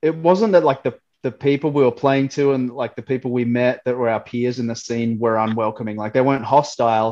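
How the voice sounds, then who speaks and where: A dark, mellow-toned man with an Australian accent, fairly quick and fairly even in intonation. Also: medium pitch for a man. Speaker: metalcore guitarist. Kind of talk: interview.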